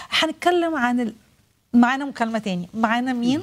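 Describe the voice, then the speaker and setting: Her intonation is lively as a woman speaks in a fairly high pitch. She keeps a moderate pace. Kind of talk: live religious TV program. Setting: studio. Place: studio.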